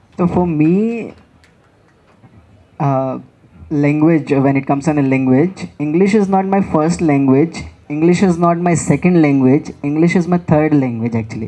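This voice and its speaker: With a Haryana accent, a woman talks in a very deep, low pitch and a dark, mellow tone, her loudness very even and her speech broken by long, frequent pauses. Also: ordinary pitch variation, moderate pace. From India, Haryana. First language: Haryanvi. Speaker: author. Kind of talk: panel discussion.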